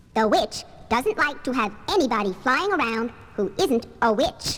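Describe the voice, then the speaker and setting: Over clear background noise, a put-on character voice moves at a moderate pace with very wide pitch swings. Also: woman, high pitch for a woman. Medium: audio drama. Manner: laid-back, genial.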